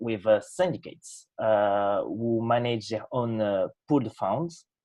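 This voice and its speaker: In a French accent, a man speaks at a medium pitch and a fairly slow pace. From France. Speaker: software developer presenting project. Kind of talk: project presentation. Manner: halting, many fillers.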